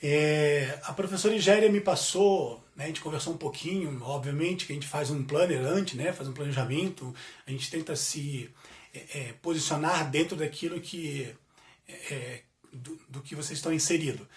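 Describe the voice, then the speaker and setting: Fairly high-pitched male voice at a moderate pace, with ordinary pitch variation, big swings in loudness and noticeable background noise. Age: 40s. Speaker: business administrator. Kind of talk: guest lecture. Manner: halting, filler-heavy.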